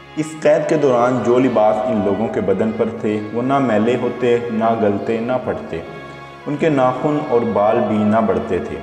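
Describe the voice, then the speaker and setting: Music plays in the background while a man talks. His pitch is medium, with ordinary variation. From Pakistan. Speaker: voice over artist. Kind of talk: Islamic story narration.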